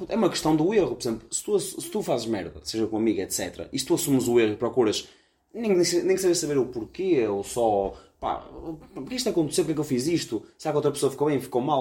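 Fairly high in pitch, a man's voice has a dark, mellow tone with vocal fry. He talks at a very fast pace, with very wide pitch swings. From Braga, northern Portugal. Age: 20s. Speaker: podcast co-host. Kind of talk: casual chat. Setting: recording on the road in Chaves.

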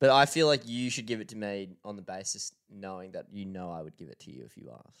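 With an Australian accent, a man talks at a very fast pace with hardly any pauses, fairly low pitch, lively intonation and big swings in loudness. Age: 20s. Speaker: podcast co-host. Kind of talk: casual chat.

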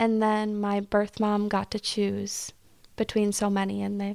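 Speaking fairly slowly, a woman uses a medium pitch and monotone, flat intonation. The recording is very clean, with a silent background. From small town. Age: 20s. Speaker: adoptee sharing her story. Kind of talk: casual interview.

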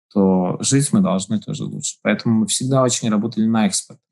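A somewhat breathy man talks at a moderate pace with very wide pitch swings. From Latvia, Daugavpils. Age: 40s. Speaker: business incubator head. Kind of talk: interview. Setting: remote call.

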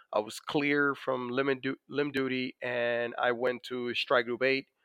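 A man speaks at a very slow pace. He has a Dominican accent. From Dominican Republic. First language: Spanish. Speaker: navy master chief, war veteran. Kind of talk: interview about personal experience. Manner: many fillers, conversational.

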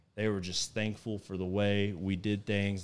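With a Texan accent, a man talks at a moderate pace in a very deep, low pitch. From Texas. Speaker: hunting guide. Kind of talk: casual chat. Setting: at a house over dinner.

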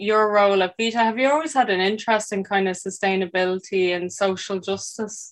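A woman's plain, everyday voice, medium in pitch, at a moderate pace. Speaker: podcast host. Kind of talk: scripted intro then interview chat.

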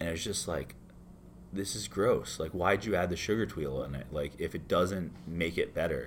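With an American accent, a man speaks at a moderate pace in a very deep, low pitch, showing vocal fry and ordinary pitch variation. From Florida, US. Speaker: bartender. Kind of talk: casual interview. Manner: casual, filler-heavy.

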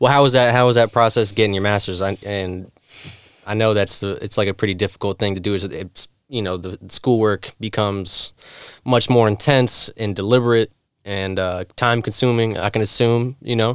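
With a normal speaking voice, a man talks at a fairly quick pace in a fairly low pitch and fairly even intonation. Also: very clean recording, silent background. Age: 30s. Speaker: podcast host. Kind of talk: casual chat.

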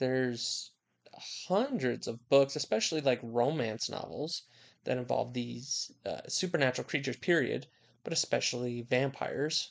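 A man speaks in an ordinary speaking voice, medium in pitch and moderate in pace. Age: 20s. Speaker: podcast co-host. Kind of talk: casual chat. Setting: same room as co-host.

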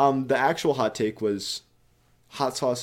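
A man with an American accent speaks at a fairly slow pace in a medium-pitched voice. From New York. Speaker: podcast co-host. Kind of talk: casual chat.

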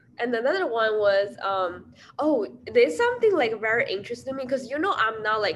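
A woman's fairly quick speech with lively intonation, in a Chinese accent. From China. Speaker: podcast co-host. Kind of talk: casual chat.

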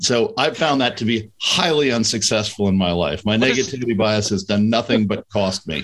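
A man with an American accent talks at a fairly quick pace in a plain, everyday voice, medium in pitch, with lively intonation and very even loudness. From New York City area / Connecticut. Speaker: M&A advisor. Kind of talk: casual interview.

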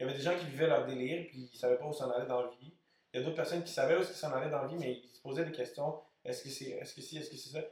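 Intonation stays fairly even as a man speaks at a fairly high pitch and a very fast pace. His loudness swings widely. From Montreal, Quebec. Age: young. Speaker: DJ. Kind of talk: casual chat.

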